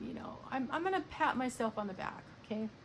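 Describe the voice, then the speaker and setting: Noticeable background noise accompanies a woman's high voice. Her intonation is lively. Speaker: video blogger sharing art. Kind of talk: casual monologue. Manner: slow; hesitant, many fillers.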